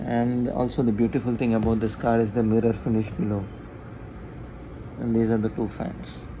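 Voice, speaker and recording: A man with a dark, mellow tone speaks at medium pitch and a moderate pace in a monotone, flat delivery. Long, frequent pauses break his speech, and room echo is audible. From India. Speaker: tech YouTuber. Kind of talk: product review. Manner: casual, hesitant with fillers.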